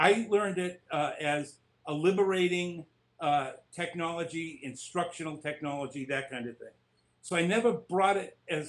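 A man speaks in an American accent at a fairly high pitch and a moderate pace. His pitch varies in an ordinary way, while his loudness swings widely. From Lowell, Massachusetts; Massachusetts. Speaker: author, former special ed teacher; former special ed teacher. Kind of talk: interview. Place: home room. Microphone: webcam.

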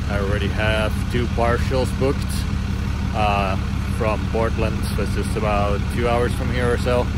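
Dry sound with no echo under loud background noise. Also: man. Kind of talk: casual vlog chat. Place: waterside. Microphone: phone near.

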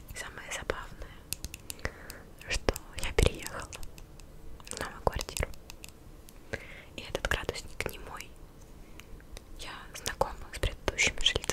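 A soft-spoken woman whispers. Her pace is moderate. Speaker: video creator. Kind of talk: casual vlog chat. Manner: soft close-mic ASMR whisper. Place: home room. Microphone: studio mic.

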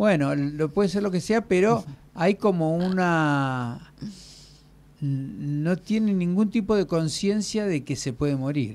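A man's high-pitched voice with lively intonation at a very slow pace. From Argentina. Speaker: radio host. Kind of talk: casual chat. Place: studio. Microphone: studio mic.

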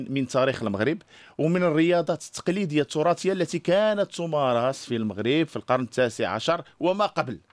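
A man speaks with lively intonation. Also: quiet background. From Morocco. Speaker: film director; interview guest. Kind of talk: heated debate. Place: studio. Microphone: studio mic.

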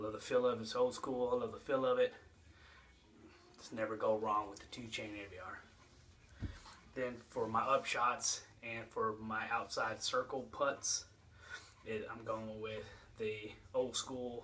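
In a monotone, flat delivery with long, frequent pauses, a man talks over light background noise. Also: fairly slow pace. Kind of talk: casual vlog chat. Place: home room. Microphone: phone near.

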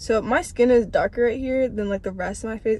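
Fairly even intonation comes with an American accent in a dry sound with no echo. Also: woman. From Washington DC metro area. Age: young. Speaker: college student. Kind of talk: casual vlog talk to camera. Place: car.

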